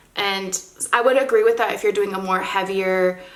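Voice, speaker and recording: Amid noticeable background noise, a woman of medium pitch speaks at a moderate pace. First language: not English. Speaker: model and beauty vlogger. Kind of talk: makeup tutorial. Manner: casual, chatty.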